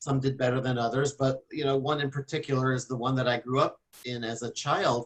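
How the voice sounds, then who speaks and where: This man has a plain, everyday voice. He speaks fairly quickly at a fairly high pitch. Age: 50s. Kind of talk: casual radio interview chat. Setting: radio show.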